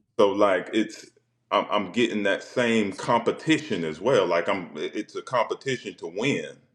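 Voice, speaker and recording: In a Southern accent, a man speaks at a moderate pace. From South Carolina. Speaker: former football player and spoken word poet. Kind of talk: casual chat. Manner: halting, repeats words.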